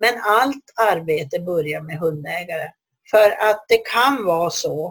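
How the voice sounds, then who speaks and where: A woman talks very slowly in a somewhat breathy voice. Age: 60s. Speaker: dog trainer and institute head. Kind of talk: solo podcast talk. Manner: hesitant.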